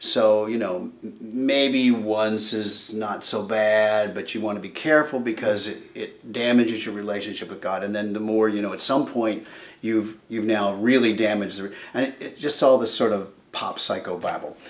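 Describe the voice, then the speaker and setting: This is an unremarkable speaking voice, a man's, fairly low in pitch, moving at a moderate pace with fairly even intonation. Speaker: interviewer. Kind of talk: interview conversation.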